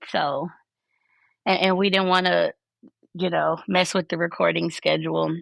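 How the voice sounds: In a put-on character voice, a woman speaks raspy and fairly low-pitched at a moderate pace, with very even loudness and long, frequent pauses.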